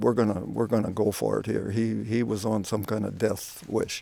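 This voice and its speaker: A man speaks at a moderate pace with a Canadian prairie accent. The sound is dry and close with no echo. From Saskatchewan, Canada. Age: 70s. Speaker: YouTuber sharing spiritual stories. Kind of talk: personal testimony. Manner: halting, many fillers.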